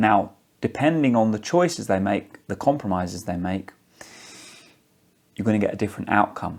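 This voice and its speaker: Speaking at a moderate pace, a man with a British accent has a medium pitch. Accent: regional UK accent, flat tone. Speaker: singing teacher. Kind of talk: tutorial.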